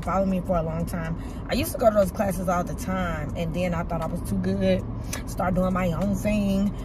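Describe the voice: A woman's fairly low voice at a moderate pace, with loud background noise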